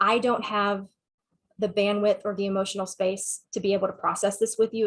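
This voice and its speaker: A woman with a Southern US accent, medium pitch, and monotone, flat intonation. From Texas. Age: 40s. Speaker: sex therapist and counselor. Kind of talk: webinar talk with Q&A.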